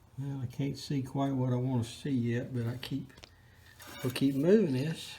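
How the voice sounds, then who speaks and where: Fairly even intonation at a moderate pace, with audible room echo and noticeable background noise. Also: man, medium pitch for a man. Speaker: hobbyist tractor restorer. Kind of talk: casual how-to narration. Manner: stuttering, halting.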